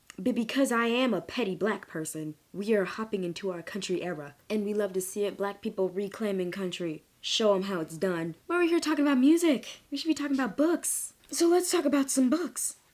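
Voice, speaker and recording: With an American accent, a woman talks at a fairly quick pace in an animated tone, her fairly high pitch swinging very widely and hardly any pauses breaking her speech. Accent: slight Southern accent slipping through. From Texas. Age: 20s. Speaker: book vlogger. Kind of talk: casual vlog monologue.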